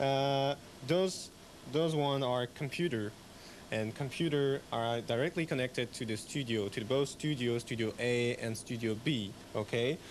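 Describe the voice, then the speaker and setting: Speaking at a fairly slow pace, a man with a French accent uses a medium pitch. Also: ordinary pitch variation. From France. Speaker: radio technician. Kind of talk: interview. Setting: radio station rack room.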